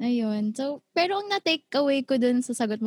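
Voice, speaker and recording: A somewhat breathy woman at a moderate pace with lively intonation, in a dry, close sound with no echo. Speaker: podcast host and singer. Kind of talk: casual chat.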